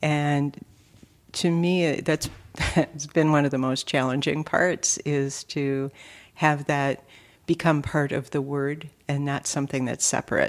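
A woman with an Upper Midwest accent speaks in a very deep, low voice, monotone and flat, at a fairly slow pace. The recording is very clean, with a silent background. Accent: Upper Midwest (Minnesota). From Minnesota, Twin Cities east side. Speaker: state legislator. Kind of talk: casual interview.

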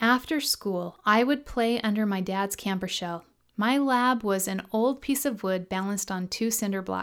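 A natural voice reads a text aloud. Its pitch rises and falls in an ordinary way.

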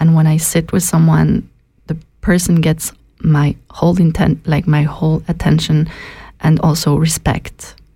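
A woman speaks with a very deep, low pitch and a dark, mellow tone, somewhat breathy. Her delivery is fairly slow, monotone and flat, with very even loudness. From Switzerland. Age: young. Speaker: anthropologist. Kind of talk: radio interview. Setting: radio studio.

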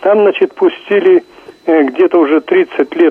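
A man's voice against noticeable background noise. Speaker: caller. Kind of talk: phone-in comment. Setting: phone call.

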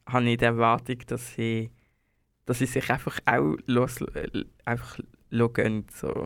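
A man at medium pitch and a fairly slow pace, on a very clean recording with a silent background. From Switzerland, Basel. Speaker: singer and bassist. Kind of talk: casual interview. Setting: studio.

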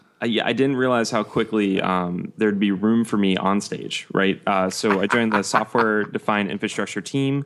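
A man talks in an unremarkable speaking voice, fairly low and fairly even, at a moderate pace with hardly any pauses. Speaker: podcast co-host. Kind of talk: casual chat.

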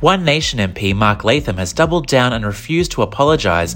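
Here is a man with an ordinary speaking voice and medium pitch. He talks at a fairly quick pace with lively intonation. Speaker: news reader. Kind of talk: news reading. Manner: formal; brisk, even.

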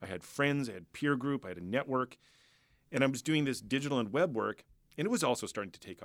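Speaking with a Canadian accent, a man talks at a very fast pace with ordinary pitch variation. The recording is very clean, with a silent background. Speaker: musician and entrepreneur. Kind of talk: interview conversation.

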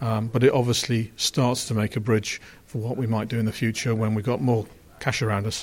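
A man with an English accent speaks at a fairly quick pace and a medium pitch. His voice is somewhat breathy, with flat, monotone intonation. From England. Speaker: car company chief executive. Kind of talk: interview.

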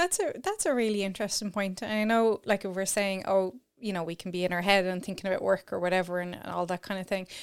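In an Irish accent, the voice races along at a very fast pace with hardly any pauses and fairly even intonation, on a very clean recording with a silent background. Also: woman, medium pitch for a woman. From Ireland. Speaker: podcast host, sexologist. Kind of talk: casual interview chat.

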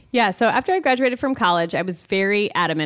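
Recorded very cleanly against a silent background, a woman talks with a Midwestern American accent. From Iowa. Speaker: social media company founder. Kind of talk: radio interview. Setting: studio.

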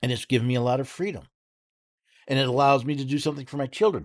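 The speaker is a man with a fairly high pitch. Behind him the background is quiet. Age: 60s. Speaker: radio talk show host. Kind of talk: political commentary monologue. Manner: halting with repetitions.

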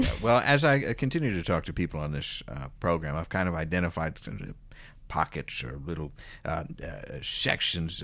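A man with an American accent speaks fairly quickly in a very deep, low voice with vocal fry. The recording is very clean, with a silent background. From Philadelphia suburbs. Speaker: podcast host. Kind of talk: casual interview chat.

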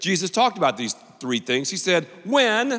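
The voice is raised and projected. It moves at a moderate pace. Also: man. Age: 50s. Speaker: pastor. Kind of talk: sermon.

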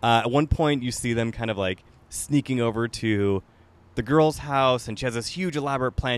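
A man talks at a fairly quick pace in a plain, everyday voice with a medium pitch. The sound is dry and close with no echo, over a quiet background. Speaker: podcast host. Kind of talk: casual chat. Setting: on location, in person. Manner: laughs often.

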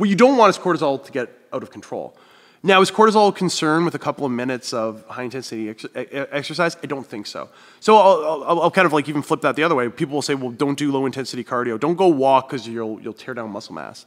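This man has a Canadian accent and a fairly high pitch, talking at a very fast pace. His intonation is lively, and his loudness swings widely. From Northern Ontario, Canada. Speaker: fitness coach and nutrition expert. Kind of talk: casual interview, explaining.

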